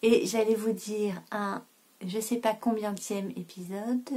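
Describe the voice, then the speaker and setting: In a very clean recording with a silent background, a woman with a fairly high pitch speaks very slowly and somewhat breathily. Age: 30s. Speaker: knitting podcaster. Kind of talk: casual vlog chat. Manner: hesitant, many filler sounds.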